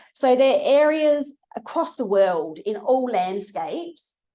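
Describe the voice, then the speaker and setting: A woman with an Australian accent, very slow, dark and mellow in tone, with very wide pitch swings against a quiet background. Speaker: research scientist giving a seminar. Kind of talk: lecture. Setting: lecture room with audience.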